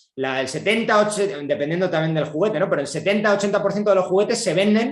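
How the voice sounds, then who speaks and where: A man talks at a very fast pace with ordinary pitch variation. Audible room echo surrounds his voice. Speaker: economist giving a talk. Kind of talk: lecture. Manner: hesitant fillers.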